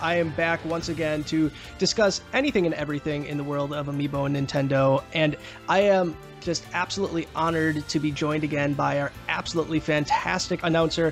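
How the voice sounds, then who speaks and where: A man's fairly high voice, fairly quick and fairly even in intonation, with music in the background. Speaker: podcast host. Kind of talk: casual podcast hosting.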